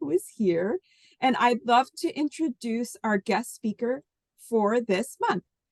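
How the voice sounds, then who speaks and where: Recorded dry and close with no echo, a woman speaks very slowly at a high pitch with very wide pitch swings. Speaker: co-host of women's discussion group. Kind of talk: event introduction.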